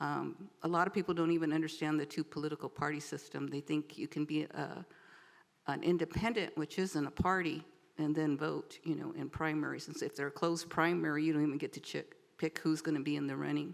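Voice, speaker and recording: Very deep and low, a woman's voice with an American accent races at a very fast pace, flat and monotone, with vocal fry. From Southern California (San Bernardino area). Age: 70s. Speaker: departing city council member. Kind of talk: farewell speech. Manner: halting.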